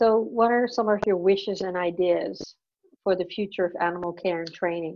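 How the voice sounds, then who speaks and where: Her pitch medium and its variation ordinary, the woman keeps a moderate pace. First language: not English. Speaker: podcast host. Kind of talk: interview.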